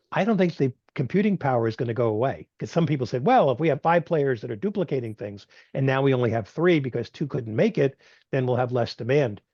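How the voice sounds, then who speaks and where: A man's somewhat breathy, medium-pitched voice at a very fast pace with lively intonation. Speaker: technology institute executive director, speaker. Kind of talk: webinar Q&A. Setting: video call.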